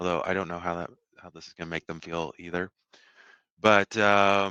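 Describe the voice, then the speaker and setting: A man's very deep, low voice with a bright, sharp tone and a slight Texas accent, monotone and flat, dry and close with no echo against a quiet background. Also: moderate pace, big swings in loudness. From Houston, Texas. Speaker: software engineer presenting at user group. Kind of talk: technical talk. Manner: halting, many fillers.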